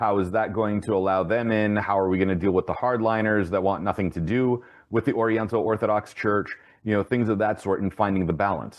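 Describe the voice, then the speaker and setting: With a plain, everyday voice, a man speaks at a fairly quick pace and a fairly low pitch, his intonation fairly even and his loudness very even. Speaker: podcast host. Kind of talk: interview.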